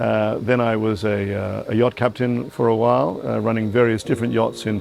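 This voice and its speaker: A man speaking fairly quickly with an English accent, fairly even intonation and music in the background. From England. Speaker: yacht owner's representative. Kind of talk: interview. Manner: halting.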